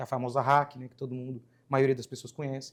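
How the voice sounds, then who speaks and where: A man with a fairly high voice on a very clean recording with a silent background. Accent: Minas Gerais. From Minas Gerais, Brazil (rural). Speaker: anesthesiologist. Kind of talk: podcast interview. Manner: casual, conversational.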